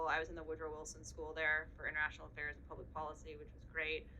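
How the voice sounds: A woman with a Boston accent speaks in a bright, sharp tone.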